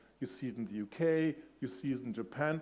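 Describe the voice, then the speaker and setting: This man, with a German accent and a fairly high pitch, keeps a fairly quick pace and ordinary pitch variation. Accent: soft German. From Germany. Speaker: industry analyst. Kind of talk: conference keynote talk. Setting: stage with audience. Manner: conversational, engaging with audience.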